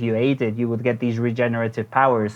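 A man speaks with music in the background. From Mexico City. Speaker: brewery founder. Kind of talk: casual interview. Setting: phone call. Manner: hesitant, filler words.

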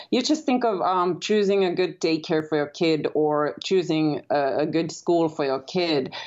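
A woman speaks with a Finnish accent in a very deep, low voice. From Finland. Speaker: author. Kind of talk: interview.

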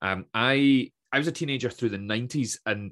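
A man speaks with a west coast Scottish accent. His pitch varies in an ordinary way, and the background is quiet. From west coast of Scotland (Troon, Ayrshire). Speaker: motivational speaker, former teacher and comedian. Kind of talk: casual interview chat.

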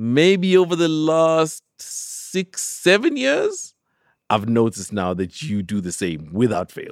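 A man speaks at a very slow pace with a fairly high pitch that swings very widely. The recording is very clean, the background silent. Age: 40s. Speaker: TV and radio host. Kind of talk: casual chat. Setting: outdoors.

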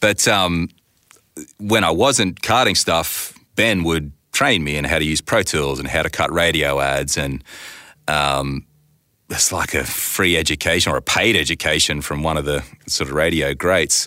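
A man with an Australian accent speaks at a fairly slow pace in a very deep, low pitch, with vocal fry, a bright, sharp tone and ordinary pitch variation. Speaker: voice actor and sound designer. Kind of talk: casual interview chat.

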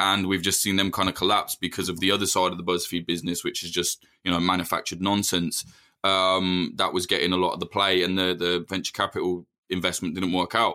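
A bright, sharp tone at a fairly quick pace, in a very clean recording with a silent background. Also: man, very deep, low pitch for a man. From English Midlands. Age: 30s. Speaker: journalist. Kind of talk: interview. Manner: animated.

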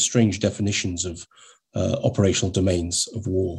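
In a British accent, a man speaks at a moderate pace with a dark, mellow, somewhat breathy tone and ordinary pitch variation over a quiet background. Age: 50s. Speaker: army warrant officer and doctrine writer. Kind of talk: interview.

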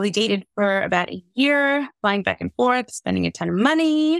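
Pitched fairly high, a woman talks at a moderate pace in an ordinary speaking voice, on a very clean recording with a silent background and a dry, close sound with no echo. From New York City, US. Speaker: copywriter and business owner. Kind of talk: casual interview chat.

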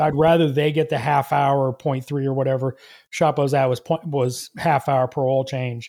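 Speaking at a moderate pace with a Southern US accent, a man uses a fairly high, monotone, flat delivery in a very clean recording with a silent background. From US South, Georgia. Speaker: auto mechanic and content creator. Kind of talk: casual interview chat. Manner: halting, many fillers and restarts.

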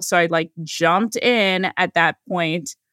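A woman talks in a normal speaking voice at a fairly low pitch, with ordinary pitch variation. The sound is dry and close, with no echo. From California. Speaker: psychiatrist. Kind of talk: interview.

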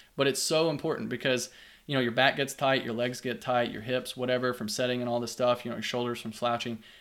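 On a very clean recording with a silent background, a man with a Kentucky accent talks very fast. His pitch is medium and his intonation fairly even. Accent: Kentucky Southern US. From Kentucky, US. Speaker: geography professor. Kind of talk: casual interview chat.

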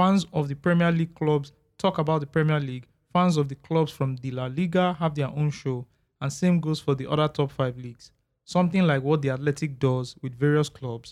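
On a very clean recording with a silent background, a man in a Nigerian accent speaks at a fairly quick pace with fairly high pitch and fairly even intonation. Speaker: podcast host. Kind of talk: casual chat.

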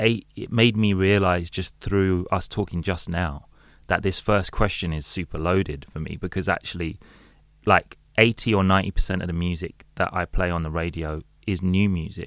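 On a very clean recording with a silent background, a man with a London accent speaks at a moderate pace in a very deep, low pitch with fairly even intonation. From London, England. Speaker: DJ and radio presenter. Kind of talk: casual chat.

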